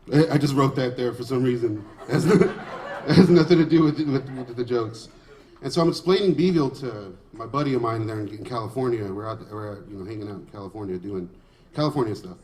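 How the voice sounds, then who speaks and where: A man with an American accent and a medium pitch at a fairly quick pace, with lively intonation, big swings in loudness, long, frequent pauses and noticeable background noise. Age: 30s. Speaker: stand-up comedian. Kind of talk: stand-up comedy set.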